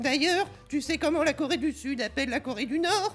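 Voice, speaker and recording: A man's cartoonish character voice at an extremely high pitch, with clear background noise. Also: moderate pace. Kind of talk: comedy puppet dialogue full of puns. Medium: puppet.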